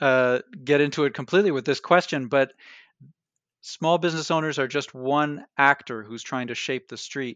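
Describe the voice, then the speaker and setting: Speaking at a fairly quick pace, a man with a plain, everyday voice keeps a fairly high pitch and ordinary pitch variation. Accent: Canadian. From Canada, Toronto. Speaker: history professor and author. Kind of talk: interview. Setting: remote call from his office.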